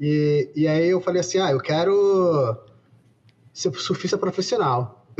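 A man's high-pitched voice with very even loudness and ordinary pitch variation. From Bahia, Brazil. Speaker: virus evolution researcher. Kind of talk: interview conversation.

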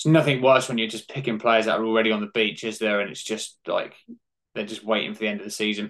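A man with a British accent talks at a very fast pace in a medium pitch, his intonation fairly even. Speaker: fantasy football podcaster. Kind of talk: casual chat.

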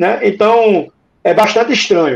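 Moderate-paced speech from a man, high in pitch, with ordinary pitch variation. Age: 40s. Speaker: former club election committee member. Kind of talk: casual chat.

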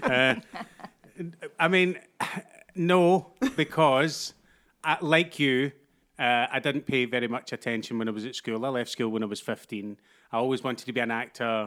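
Speaking in a Glaswegian accent at a moderate pace, a man at medium pitch uses ordinary pitch variation and long, frequent pauses in a very clean recording with a silent background. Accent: Glaswegian Scottish. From Glasgow, Scotland. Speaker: actor. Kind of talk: casual chat.

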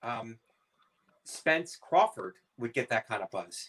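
A man with an American accent, a bright, sharp tone and vocal fry, speaking at a very slow pace. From US Midwest (Youngstown, Ohio). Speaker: comedian. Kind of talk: casual chat.

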